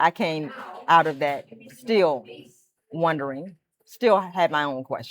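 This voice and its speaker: Fairly slow in pace and fairly low in pitch, a woman talks in an ordinary speaking voice. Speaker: storyteller, stuttering awareness speaker. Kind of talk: reflective personal storytelling to camera.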